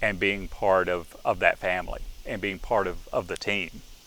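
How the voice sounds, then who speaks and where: Here a man speaks with a Southern US accent. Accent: Southern American. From Alabama. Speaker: stadium announcer and university lecturer. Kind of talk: interview answer.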